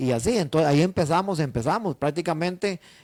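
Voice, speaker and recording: An unremarkable speaking voice moves at a fairly quick pace with ordinary pitch variation, on a very clean recording with a silent background and a dry, close sound with no echo. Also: man. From Costa Rica, northern region. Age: 60s. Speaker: tour organizer, business owner. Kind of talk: interview.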